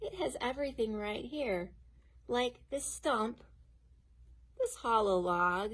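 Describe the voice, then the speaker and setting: Putting on a rumbling character voice, a woman speaks fairly slowly with long, frequent pauses, a fairly high pitch and lively intonation. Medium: read story. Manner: grumbling.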